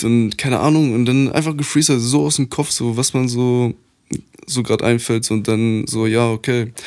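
In a very clean recording with a silent background, a man with a normal speaking voice talks at a moderate pace and medium pitch, his intonation fairly even. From Poland, grew up in Germany. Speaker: rapper. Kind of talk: casual chat.

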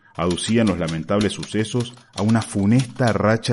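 A man speaks in a solemn tone at a moderate pace, with ordinary pitch variation. Background noise is noticeable. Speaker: narrator reading a short story. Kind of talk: dramatic narration of a story. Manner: solemn, urgent, newsreader-like gravity; building suspense, mock-epic tone.

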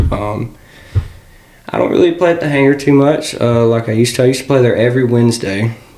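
A man talks at a very fast clip. Background noise is noticeable. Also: medium pitch for a man, ordinary pitch variation. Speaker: guitarist and singer. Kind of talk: casual chat.

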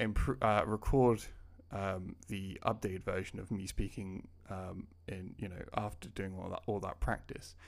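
A man speaks with a British accent at a fairly slow pace. His pitch is fairly low and his intonation fairly even. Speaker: language learning YouTuber and podcaster. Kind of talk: casual solo podcast ramble. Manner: hesitant, filler-heavy, conversational.

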